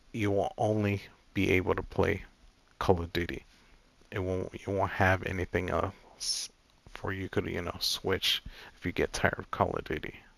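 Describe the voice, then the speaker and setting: At a moderate pace and with long, frequent pauses, a man speaks in a very deep, low pitch on a very clean recording with a silent background. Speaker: gaming youtuber. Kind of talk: casual vlog update. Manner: monotone; not enthusiastic, serious.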